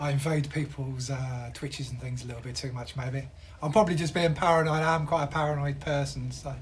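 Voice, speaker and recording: With audible room echo, a man with a fairly high pitch talks at a very fast pace in a somewhat breathy voice with fairly even intonation. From southern England. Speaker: game streamer. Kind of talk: casual live-stream chat while gaming.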